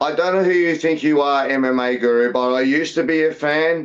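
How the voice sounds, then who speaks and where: A man's fairly high voice comes through in an Australian accent. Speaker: MMA podcast co-host. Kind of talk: casual chat. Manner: animated.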